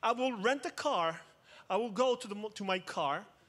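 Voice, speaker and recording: A man speaks with an Israeli accent in an animated tone. His pace is fairly slow. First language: Hebrew. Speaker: cybersecurity expert, conference speaker. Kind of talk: conference talk. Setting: stage with audience.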